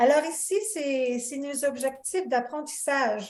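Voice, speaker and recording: Her voice sits at a high pitch with ordinary pitch variation. This woman speaks at a very slow pace. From Canada. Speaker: course facilitator. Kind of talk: online lecture.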